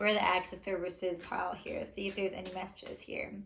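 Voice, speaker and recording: Amid noticeable background noise, a woman at medium pitch speaks at a fairly quick pace with fairly even intonation. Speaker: tarot card reader. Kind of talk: tarot reading. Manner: fast; casual, filler-heavy.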